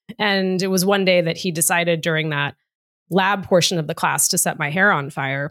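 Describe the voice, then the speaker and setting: In a very clean recording with a silent background, a woman with an American accent and an ordinary speaking voice talks at a moderate pace, her fairly low pitch held to fairly even intonation. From Massachusetts, US (outside Boston). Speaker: diversity executive and author. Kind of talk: interview. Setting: podcast recording.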